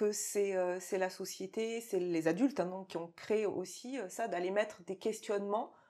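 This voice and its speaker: A woman's dark, mellow voice at medium pitch, fairly slow and fairly even in intonation, with hardly any pauses. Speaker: interviewer at an agency studio.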